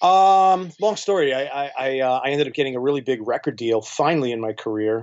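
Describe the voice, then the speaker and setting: An ordinary speaking voice from a man, medium in pitch, with lively intonation and a fairly quick pace. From New York. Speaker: electronic musician and label owner. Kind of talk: casual interview chat.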